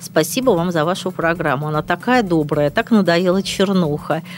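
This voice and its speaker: This woman has a plain, everyday voice. Her pitch is fairly low, with ordinary variation. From St Petersburg, Russia. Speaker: politician and public figure. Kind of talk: interview. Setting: studio.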